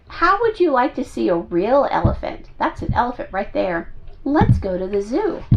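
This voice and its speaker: Putting on a character voice, a woman talks at a moderate pace in a high pitch. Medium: read story.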